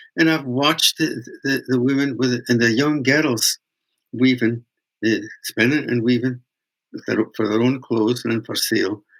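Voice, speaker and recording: This man has a Scottish accent. His pitch sits in the medium range. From Scotland. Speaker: traditional weaver and folk singer. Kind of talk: interview storytelling. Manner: halting.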